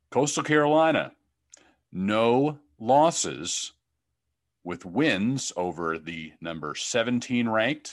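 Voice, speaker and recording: A fairly low-pitched man at a very slow pace, with very wide pitch swings and a quiet background. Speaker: podcast host. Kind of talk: interview.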